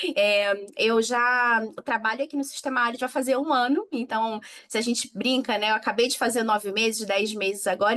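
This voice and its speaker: A woman speaks in a Rio de Janeiro accent at a fairly high pitch. Her intonation stays fairly even. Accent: Rio de Janeiro (carioca). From Rio de Janeiro, Brazil. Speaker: innovation manager, panel speaker. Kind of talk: conference panel talk.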